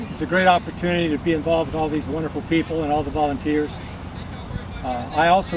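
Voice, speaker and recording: The speech goes at a very fast pace over noticeable background noise. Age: 70s. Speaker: senior track athlete. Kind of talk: interview testimonial.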